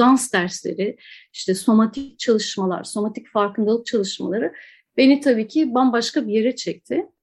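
A woman talks at a moderate pace with a high pitch. The background is quiet. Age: 40s. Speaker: dancer and dance professor. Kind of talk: interview conversation.

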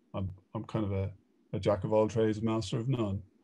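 Against a quiet background, a man with an Irish accent speaks at a fairly low pitch and moderate pace in a dark, mellow tone with fairly even intonation. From Ireland. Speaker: e-commerce consultant. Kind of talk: casual interview.

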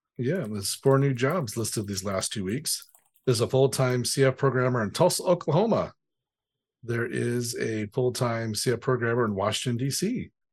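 A man with a medium pitch speaks at a moderate pace in a playful tone, somewhat breathy. His pitch varies in an ordinary way, and the background is quiet. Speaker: podcast co-host, developer. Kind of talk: casual news podcast chat. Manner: joking, playful.

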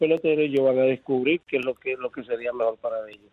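A man speaks at a moderate pace. His voice sits fairly high. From Venezuela. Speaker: former baseball player. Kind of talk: phone interview.

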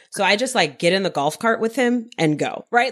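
A woman with a normal speaking voice and an American accent talks at a moderate pace with lively intonation over a quiet background. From Queens, New York. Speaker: podcast co-host, entrepreneur. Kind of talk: casual chat.

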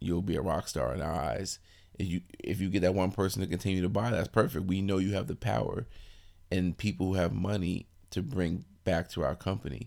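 Very deep and low, a man's voice carries vocal fry and an American accent. He moves at a fairly quick pace with ordinary pitch variation. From Brooklyn, New York. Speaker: clothing company owner. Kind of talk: interview. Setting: fitness expo.

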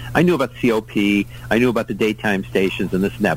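A man talks at a fairly quick pace in a fairly low voice, his pitch swinging very widely. Noticeable background noise is present. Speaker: radio guest and sports fan. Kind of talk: casual chat. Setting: video call.

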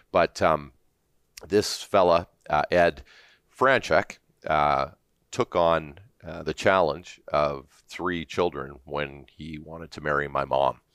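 In a very clean recording with a silent background and a dry, close sound with no echo, a man with a Canadian accent speaks at a very deep, low pitch with vocal fry. His pace is very slow, with long, frequent pauses, ordinary pitch variation, and big swings in loudness. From Southern Ontario, Canada. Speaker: business executive. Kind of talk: interview. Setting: studio.

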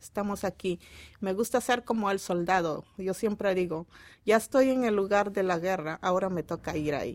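A woman with a plain, everyday voice at a medium pitch, moderate pace and ordinary pitch variation, in a very clean recording with a silent background. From Peru, Piura (northern coast). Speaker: childcare worker. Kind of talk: interview.

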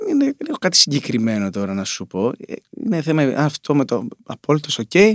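At a moderate pace, the voice moves through very wide pitch swings in a dry, close sound with no echo. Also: man, fairly high pitch for a man. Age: 30s. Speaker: singer-songwriter. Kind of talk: casual chat.

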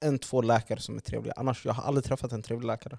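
In a dry, close recording with no echo, a man talks at a very fast pace. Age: 20s. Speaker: podcast host. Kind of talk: casual chat.

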